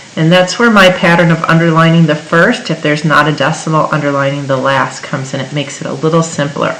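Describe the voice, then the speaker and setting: A woman's very deep, low voice with ordinary pitch variation, audible room echo and noticeable background noise. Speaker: chemistry teacher. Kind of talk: tutorial.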